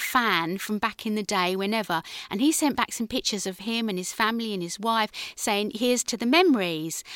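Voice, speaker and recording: A woman with a southern English accent speaks fairly quickly at a fairly high pitch, with ordinary pitch variation. The sound is dry and close with no echo, on a very clean recording with a silent background. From southern England, Guildford, Surrey. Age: 50s. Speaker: actress and playwright. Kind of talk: radio interview.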